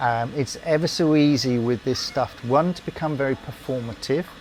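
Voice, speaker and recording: With a British accent, a man talks at a moderate pace in a fairly high pitch, his intonation fairly even. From UK. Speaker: former RAF engineer. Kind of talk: interview answer.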